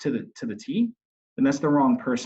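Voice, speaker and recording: Very fast and fairly high-pitched, a man talks with very wide pitch swings. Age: 30s. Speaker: mortgage loan officer. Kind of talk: interview. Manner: animated, repetitive.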